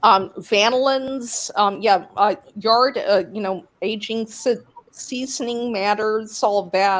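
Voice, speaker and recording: With ordinary pitch variation, a woman speaks very slowly at a fairly high pitch. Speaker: whiskey enthusiast. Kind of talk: casual chat. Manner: halting, many fillers.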